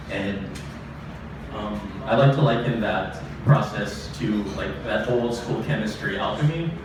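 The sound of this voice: Over clear background noise, a man talks with ordinary pitch variation.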